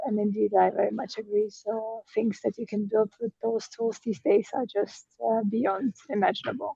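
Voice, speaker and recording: A woman's fairly high, somewhat breathy voice at a moderate pace, fairly even in intonation and with hardly any pauses. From Germany. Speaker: AI trainer. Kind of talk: self-introduction in a webinar.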